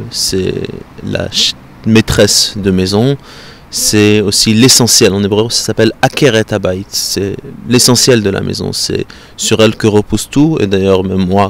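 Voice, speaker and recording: Amid noticeable background noise, a man speaks at a fairly slow pace in a fairly low pitch with fairly even intonation. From southern France. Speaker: European affairs consultant. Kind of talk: interview. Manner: halting.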